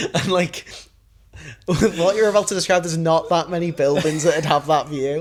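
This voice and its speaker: In a very clean recording with a silent background, a man with a Liverpool accent speaks at a moderate pace, his pitch high and his intonation fairly even. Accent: Scouse. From Liverpool, England. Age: 20s. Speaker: podcast co-host. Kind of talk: casual chat.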